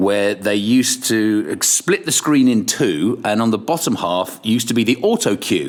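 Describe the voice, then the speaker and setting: Against noticeable background noise, a man with a medium pitch and ordinary pitch variation speaks at a moderate pace with hardly any pauses. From Ireland, Kilkenny, English parents. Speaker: radio presenter. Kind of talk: casual interview. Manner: animated; stammering restarts.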